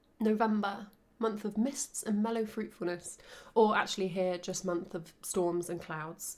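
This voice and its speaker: A fairly slow delivery with ordinary pitch variation. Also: woman, medium pitch for a woman. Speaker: book reviewer. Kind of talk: casual talk to camera. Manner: rising intonation at sentence ends.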